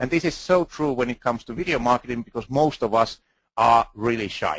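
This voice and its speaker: A man with a Finnish accent and a medium pitch speaks with lively intonation in a dry, close sound with no echo. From Finland. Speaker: video marketing expert speaker. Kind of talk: conference talk. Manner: halting.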